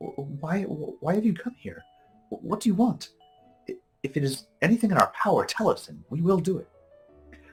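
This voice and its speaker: A man's put-on character voice, high-pitched and shaky, at a moderate pace over faint background music. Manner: timid, frightened.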